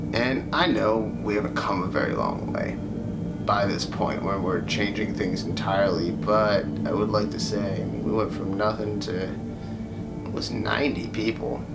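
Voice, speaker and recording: A man talks at a moderate pace. Loud background noise fills the recording. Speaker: YouTuber. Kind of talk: casual talk to camera. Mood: reflective, subdued. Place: home room. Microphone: phone near.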